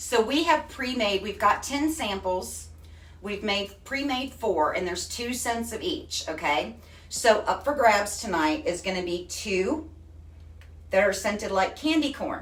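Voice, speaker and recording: A woman with a Texan accent speaks at a fairly slow pace and a medium pitch, her pitch swinging very widely, with audible room echo around her. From Texas. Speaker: craft product retailer. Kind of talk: live stream demo. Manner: animated.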